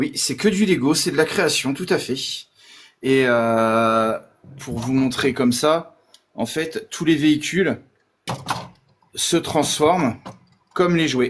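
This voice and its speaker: Very slowly, a man speaks with long, frequent pauses. His pitch is fairly high and varies in an ordinary way. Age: 40s. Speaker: Lego builder and collector. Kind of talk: casual chat.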